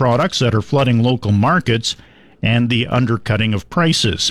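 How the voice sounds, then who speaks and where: A man speaks in an unremarkable speaking voice. His pitch is medium, with ordinary pitch variation. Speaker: ag news reader. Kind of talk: news reading.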